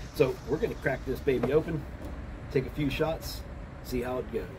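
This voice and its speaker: A man talks at a moderate pace. There is noticeable background noise. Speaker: hobby shooter vlogger. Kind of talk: casual vlog chat. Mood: relaxed, amused. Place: open country. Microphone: phone near.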